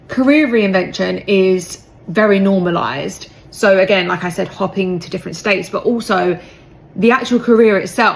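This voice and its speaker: With a British accent, a woman speaks at medium pitch and a moderate pace, using ordinary pitch variation and big swings in loudness. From UK. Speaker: British expat in the US. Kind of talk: casual chat.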